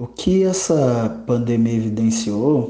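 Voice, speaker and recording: A man speaks at a very slow pace with lively intonation and a somewhat breathy sound. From Rio de Janeiro state, Brazil. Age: 30s. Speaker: public administrator and cultural museum head. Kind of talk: interview.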